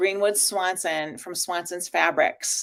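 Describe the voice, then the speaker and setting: Her tone animated, a woman speaks at a fairly slow pace. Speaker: livestream host, textile upcycling entrepreneur. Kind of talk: casual livestream chat. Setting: livestream on social media.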